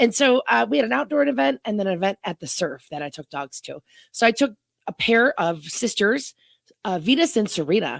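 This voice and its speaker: A woman at medium pitch speaks fairly quickly in an animated tone, with very wide pitch swings and big swings in loudness. The recording is very clean, with a silent background. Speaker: animal shelter worker. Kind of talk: radio interview.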